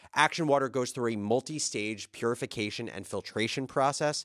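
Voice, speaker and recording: A man talking at a fairly quick pace with ordinary pitch variation, against a quiet background. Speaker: podcast host. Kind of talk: podcast intro and ad read. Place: studio. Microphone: studio mic.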